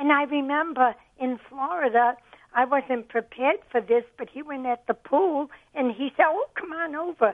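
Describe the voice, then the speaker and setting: An American-accented woman talks at a moderate pace in a high pitch, with ordinary pitch variation. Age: 80s+. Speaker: grandmother, mother of the man discussed. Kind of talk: recalled interview story.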